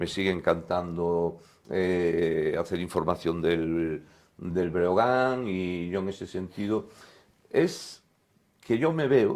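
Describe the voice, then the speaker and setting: In a very deep, low voice, a man talks very slowly with ordinary pitch variation. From Spain, Galicia (Lugo). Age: 60s. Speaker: sports journalist, former basketball player. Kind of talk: casual interview chat.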